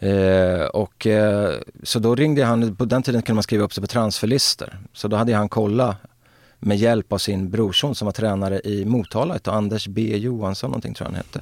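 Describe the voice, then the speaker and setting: A man talks in a plain, everyday voice at a fairly low pitch and a fairly quick pace. His intonation is fairly even, and the recording is very clean with a silent background. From Sweden, Örebro. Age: 50s. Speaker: former footballer. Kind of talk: casual interview.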